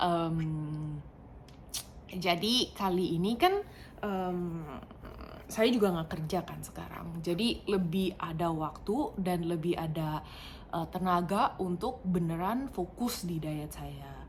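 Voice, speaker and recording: Very slowly, a woman with a fairly low pitch and a non-native accent speaks with ordinary pitch variation. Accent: non-native Indonesian, stiff. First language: not Indonesian; English more fluent (speaking Indonesian). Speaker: vlogger. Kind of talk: casual personal vlog. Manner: halting, many fillers.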